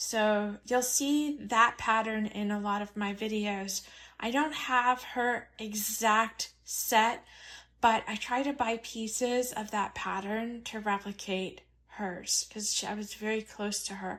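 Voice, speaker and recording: A woman speaks at a very slow pace, her pitch fairly high. Her intonation stays fairly even. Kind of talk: soft-spoken lifestyle vlog narration. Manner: soft-spoken, gentle.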